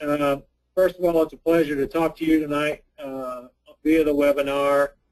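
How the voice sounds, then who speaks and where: Delivery comes at a moderate speed with an American accent. The intonation stays monotone and flat. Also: man. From US Midwest, Indiana. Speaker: university extension specialist. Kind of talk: lecture. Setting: webinar.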